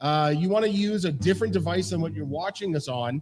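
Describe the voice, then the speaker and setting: Somewhat breathy, the man talks with a fairly high pitch. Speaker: quiz show host. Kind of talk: quiz show explanation of rules. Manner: casual, many fillers.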